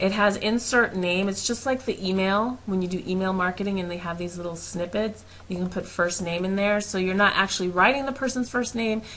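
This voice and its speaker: A woman at a medium pitch speaks at a fairly quick pace with hardly any pauses and ordinary pitch variation, against noticeable background noise. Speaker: network marketer. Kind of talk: tutorial. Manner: fast; animated.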